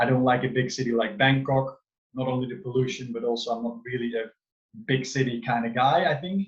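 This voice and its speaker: A somewhat breathy voice with a Dutch accent speaks at a moderate pace. Its pitch varies in an ordinary way. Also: man. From Netherlands. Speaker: wellness coach. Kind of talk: online talk to a group. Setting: video call.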